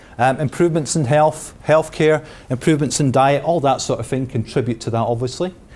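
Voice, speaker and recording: A man speaks at a fairly quick pace with a Scottish accent. His pitch varies in an ordinary way. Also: fairly high pitch for a man. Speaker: pensions specialist. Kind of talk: seminar talk. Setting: seminar room with audience. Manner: casual, with frequent fillers.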